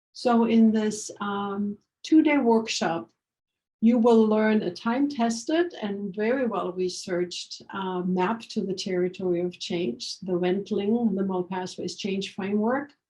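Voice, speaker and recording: Somewhat breathy and dark, mellow in tone, a woman with a German accent speaks fairly slowly at a medium pitch. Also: ordinary pitch variation. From Germany. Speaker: organizational change consultant. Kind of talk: workshop promo talk. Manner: hesitant with fillers.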